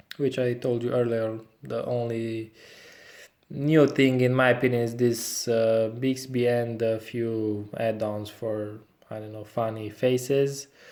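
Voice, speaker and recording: This speech moves at a fairly slow pace. It carries a non-native accent. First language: not English. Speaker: tech reviewer. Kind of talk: product review tutorial. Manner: halting, many fillers.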